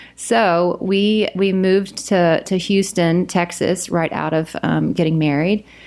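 A woman with a Southern US accent at a medium pitch, fairly slow in pace, with very even loudness. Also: fairly even intonation, hardly any pauses. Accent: Southern US accent, noticeable. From US South, South Carolina. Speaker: podcast guest sharing faith testimony. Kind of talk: testimony; casual chat.

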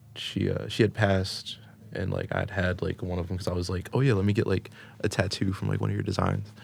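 With an American accent, a man talks at a very fast pace in a very deep, low pitch, showing vocal fry and fairly even intonation. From South Florida. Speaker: hip-hop and jazz artist. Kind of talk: casual chat.

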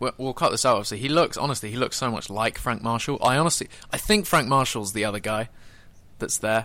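Very fast and bright-toned, a man with a British accent speaks in a sharp voice at medium pitch with ordinary pitch variation. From Britain. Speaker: fan podcast host. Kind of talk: casual chat. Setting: online call.

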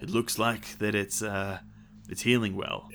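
A man puts on a raspy character voice at a fairly low pitch and a moderate pace. Background noise is clearly audible. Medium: actual play. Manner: warm, reassuring.

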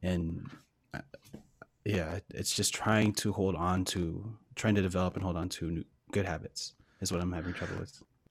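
A soft-spoken man with a very deep, low pitch talks at a moderate pace in a monotone, flat intonation, leaving long, frequent pauses. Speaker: guest musician. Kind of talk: casual chat.

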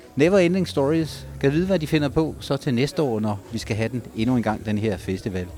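Very wide pitch swings mark this man's voice. He keeps a moderate pace. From Denmark, Ribe (southwest Jutland). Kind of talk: live field reporting with street interviews. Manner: animated.

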